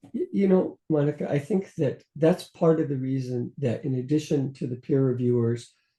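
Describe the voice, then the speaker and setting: A man with an American accent speaks at a medium pitch with ordinary pitch variation. His tone is dark and mellow, and somewhat breathy. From US West (California, New Mexico). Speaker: journal editor-in-chief and microbiologist. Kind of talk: interview conversation. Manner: hesitant with repetitions.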